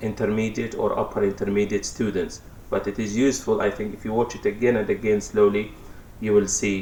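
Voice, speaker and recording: There is audible room echo around the speaker. A man talks in a monotone, flat intonation. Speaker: English teacher. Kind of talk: lecture.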